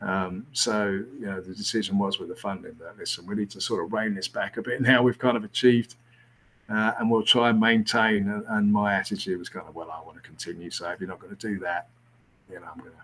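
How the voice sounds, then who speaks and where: The speaker has a British accent and a fairly quick pace. The intonation stays fairly even. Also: man, fairly low pitch for a man, big swings in loudness. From England. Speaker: former rugby coach. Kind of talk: casual interview. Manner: hesitant, many fillers.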